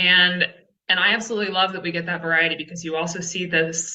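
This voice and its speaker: Monotone, flat intonation in a Texan accent. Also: woman. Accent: Texan American. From Texas. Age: 30s. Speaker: conservation communications writer. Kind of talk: presentation.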